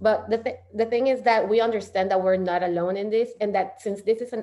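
Talking at a fairly quick pace, a woman has a dark, mellow tone and fairly even intonation. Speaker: PhD candidate and community organizer. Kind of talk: online presentation. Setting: video call. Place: home room. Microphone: webcam.

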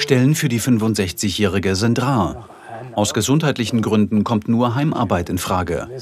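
Amid noticeable background noise, a man talks at a moderate pace and medium pitch with ordinary pitch variation. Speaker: documentary narrator. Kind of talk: TV documentary narration.

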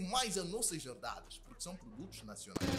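Over light background noise, a man with an Angolan accent talks with very wide pitch swings. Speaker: YouTuber. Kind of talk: casual talk to camera. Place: home room.

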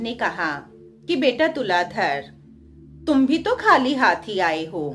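Faint music plays in the background. A woman speaks at a very slow pace. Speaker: storyteller on own channel. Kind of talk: storytelling narration. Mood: calm, gentle, devotional. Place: home room. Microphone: phone near.

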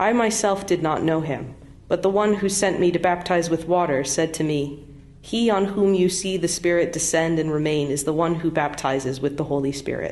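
A woman's fairly low voice with ordinary pitch variation at a moderate pace. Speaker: pastor or worship leader. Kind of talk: scripture reading. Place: church. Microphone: podium.

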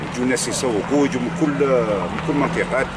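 Amid noticeable background noise, a man speaks at a moderate pace, the sound dry with no echo. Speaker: vlogger market host. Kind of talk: casual vlog chat. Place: market. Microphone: lapel.

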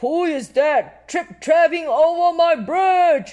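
In a put-on character voice, the speaker goes at a very slow pace with extremely high pitch. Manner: howling.

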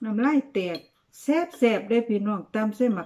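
The voice is somewhat breathy and dark and mellow in tone, with ordinary pitch variation and a quiet background. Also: woman. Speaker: food vlogger. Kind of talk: casual eating vlog chat. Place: home room. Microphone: phone near.

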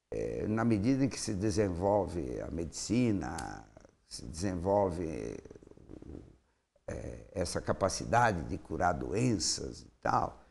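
The speech moves at a very slow pace with vocal fry, very wide pitch swings and big swings in loudness. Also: man, very deep, low pitch for a man. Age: 70s. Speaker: mayoral candidate, politician; candidate, politician. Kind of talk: interview. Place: studio. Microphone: lapel.

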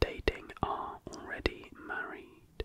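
A man whispers in a dry sound with no echo. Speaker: ASMR creator. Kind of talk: soft-spoken ASMR fact reading and chat. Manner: close-mic ASMR whisper. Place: home room. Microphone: studio mic.

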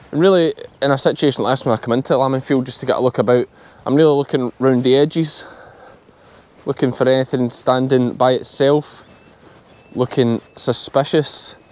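A man with a strong Scottish accent talks fairly quickly at a medium pitch, with fairly even intonation. Long, frequent pauses break up his speech, and the sound is dry with no echo. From Ayrshire, South West Scotland. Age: 30s. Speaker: sheep farmer. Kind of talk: vlog narration. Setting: outdoors. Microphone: phone near.

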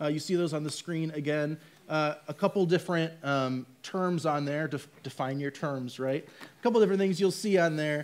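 A man speaks in a normal speaking voice, fairly high, at a moderate pace. His pitch varies in an ordinary way, with hardly any pauses. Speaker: church ministry staff; church staff member on panel. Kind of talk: casual chat. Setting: church. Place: stage.

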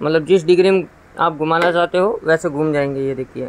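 A man talks at a moderate pace with a high pitch. His intonation stays fairly even. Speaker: key shop owner demonstrating machine. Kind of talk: tutorial. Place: shop. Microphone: phone near.

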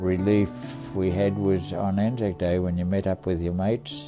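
A man's very deep, low voice at a fairly slow pace, with clear music in the background. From Tasmania, Australia. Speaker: war veteran. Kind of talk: interview answer. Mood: somber, reflective. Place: home room.

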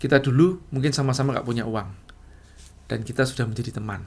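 This man speaks at a medium pitch. His voice is somewhat breathy. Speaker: entrepreneur and business coach; business coach. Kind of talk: casual storytelling monologue. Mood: relaxed, smiling, reflective. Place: home room.

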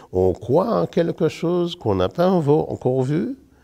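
Against a quiet background, a man speaks at a very slow pace, his fairly high pitch moving in very wide swings. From Martinique. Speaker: retired teacher. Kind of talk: testimony. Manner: animated. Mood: warm, smiling, cheerful. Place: church. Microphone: lapel.

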